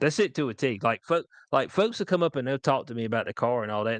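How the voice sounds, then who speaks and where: A man with a Southern US accent talks at a very fast pace with lively intonation against a quiet background, the sound dry and close with no echo. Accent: country Southern. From US South, rural North Carolina. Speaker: podcast host. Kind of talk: casual chat. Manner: animated.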